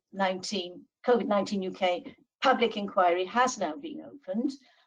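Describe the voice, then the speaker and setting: A woman with a Welsh accent and ordinary pitch variation. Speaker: law professor. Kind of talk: webinar presentation. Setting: online webinar.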